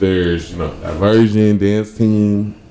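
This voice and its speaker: Over noticeable background noise, a man with a fairly low pitch talks very slowly in a monotone, flat way. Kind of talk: radio talk show discussion. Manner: conversational, casual.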